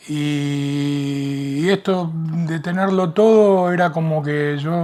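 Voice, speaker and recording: Speaking with fairly even intonation, a man uses a fairly high pitch. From Argentina, Rosario. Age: 60s. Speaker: podcast guest, retiree. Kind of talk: interview. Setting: library recording. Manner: halting, hesitant.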